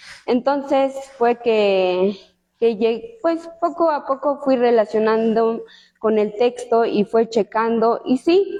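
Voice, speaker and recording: Very slowly, a high-voiced woman speaks with lively intonation and very even loudness. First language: Tsotsil (speaking Spanish). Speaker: law student. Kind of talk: book presentation talk. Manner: hesitant, many fillers.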